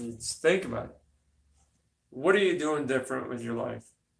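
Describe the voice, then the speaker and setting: A man speaks with vocal fry and lively intonation. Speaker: motivational speaker and minister. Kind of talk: motivational talk to camera. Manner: mumbles, slurs words; casual, conversational.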